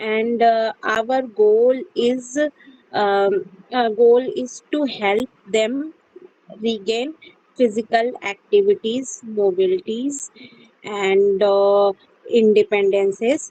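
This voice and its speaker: Speaking very slowly, a woman uses a fairly high voice with a dark, mellow tone and ordinary pitch variation. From India, Uttar Pradesh (Mirzapur). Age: 20s. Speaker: physiotherapist, English learner. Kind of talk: mock interview practice. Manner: halting, many fillers.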